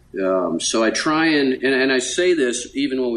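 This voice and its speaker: A man's medium-pitched voice unfolds at a fairly slow pace. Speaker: Olympic sailing coach. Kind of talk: interview. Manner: soft-spoken; halting.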